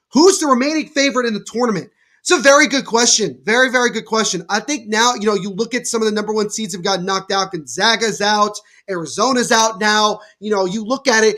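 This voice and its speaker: A man speaks very fast in a raised, projected voice, high-pitched, bright and sharp, with ordinary pitch variation and an energetic tone. The recording is very clean, with a silent background. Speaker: podcast host. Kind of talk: live play-by-play watchalong commentary.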